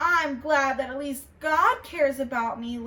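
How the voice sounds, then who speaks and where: A woman uses a put-on character voice pitched high. She talks at a moderate pace. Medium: read story.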